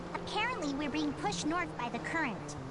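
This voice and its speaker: A cartoonish character voice that sounds female comes through loud background noise. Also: fairly quick pace. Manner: spacey.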